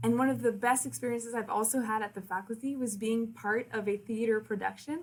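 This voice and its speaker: A woman with a French Canadian accent speaks fairly quickly in a fairly high pitch, somewhat breathy, with fairly even intonation. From Quebec City. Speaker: university liaison and communications officer. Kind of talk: presentation to prospective students. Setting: recorded virtual presentation.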